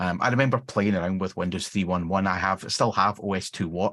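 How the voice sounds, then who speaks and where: The speech is very fast and fairly even in intonation, set against a quiet background. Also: man. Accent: Glaswegian. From Scotland, near Glasgow. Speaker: software engineering manager. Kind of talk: interview. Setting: live stream.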